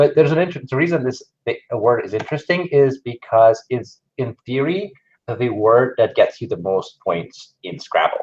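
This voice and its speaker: A man with a non-native accent speaks somewhat breathily at medium pitch and a moderate pace, with lively intonation. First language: not English. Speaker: conference speaker, digital marketer. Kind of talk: conference talk. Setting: stage with audience, live-streamed.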